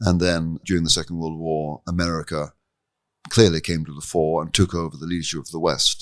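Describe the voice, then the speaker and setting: A man with a British RP accent and a very deep, low pitch at a fairly quick pace, in a very clean recording with a silent background. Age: 60s. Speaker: professor of moral theology, author. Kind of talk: interview. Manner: articulate, formal.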